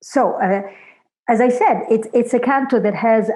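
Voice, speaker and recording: This is a woman speaking. She has a Florentine accent. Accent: Florentine Italian. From Italy, Florence. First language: Italian. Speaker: literature scholar. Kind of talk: academic conversation. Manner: hesitant, many fillers.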